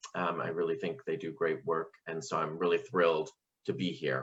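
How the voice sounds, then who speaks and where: A man speaks at a moderate pace with very wide pitch swings. Vocal fry runs through his voice. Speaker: sociology professor. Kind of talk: keynote talk. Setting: video call.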